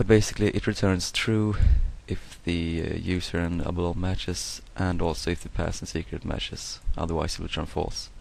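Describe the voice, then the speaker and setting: Speaking with a non-native accent, a man talks at a fairly quick pace. His very deep, low pitch stays monotone and flat. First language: not English. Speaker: software tutorial maker. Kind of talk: tutorial. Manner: hesitant, many fillers.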